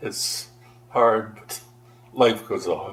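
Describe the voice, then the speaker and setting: Over noticeable background noise, a man with a Canadian accent speaks at a very slow pace. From Ontario, Canada (Aurora). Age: 80s+. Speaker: longtime local resident. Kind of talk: oral history interview. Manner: halting.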